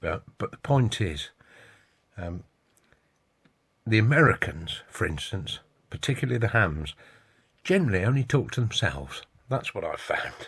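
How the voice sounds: A man with a fairly low, fairly bright voice and a husky, rough edge speaks fairly slowly, with big pitch swings and long, frequent pauses.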